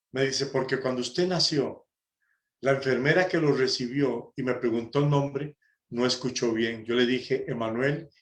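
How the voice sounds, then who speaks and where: The speaker is a man with an unremarkable speaking voice. He talks at a medium pitch and a moderate pace, with ordinary pitch variation. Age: 60s. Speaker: preacher, prison ministry volunteer. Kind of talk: sermon. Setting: conference talk.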